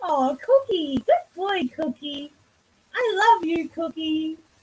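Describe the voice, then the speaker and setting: A female-sounding put-on character voice, extremely high in pitch, moves at a fairly slow pace. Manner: affectionate, talking in sleep.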